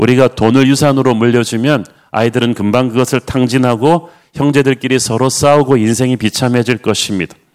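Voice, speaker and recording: A man with an unremarkable speaking voice talks at a fairly quick pace, keeping a medium pitch, fairly even intonation and very even loudness. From South Korea, Busan. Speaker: pastor. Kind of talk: sermon. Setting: online livestream.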